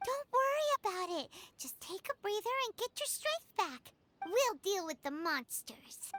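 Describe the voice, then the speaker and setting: This put-on character voice sits extremely high in pitch, swinging very widely up and down at a moderate pace. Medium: video game. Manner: casual, warm.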